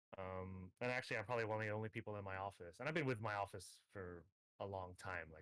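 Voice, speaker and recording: In an American accent, the speaker goes at a very fast pace with ordinary pitch variation. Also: man. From Hong Kong. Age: 30s. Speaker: gamer and tournament organizer. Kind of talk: interview. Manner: hesitant, many fillers.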